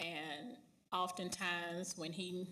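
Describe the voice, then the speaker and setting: In a room with audible echo, a woman speaks at a fairly low pitch. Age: 40s. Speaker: union leader and bus driver. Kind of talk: panel discussion.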